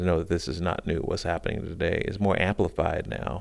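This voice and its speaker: This man has a very deep, low pitch and an American accent. Vocal fry runs through his speech. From US South, South Carolina. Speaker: multimedia artist and cellist. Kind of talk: radio interview.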